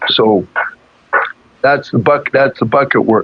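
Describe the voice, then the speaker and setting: Here a man talks at a fairly slow pace. The variation in his pitch is ordinary. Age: 60s. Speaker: energy healer. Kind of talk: interview. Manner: halting.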